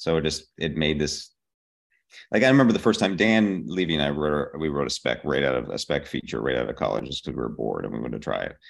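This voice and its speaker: Spoken at a very fast pace, the voice has lively intonation and vocal fry. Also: man, very deep, low pitch for a man. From Pittsburgh, Pennsylvania. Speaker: TV comedy writer. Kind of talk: interview.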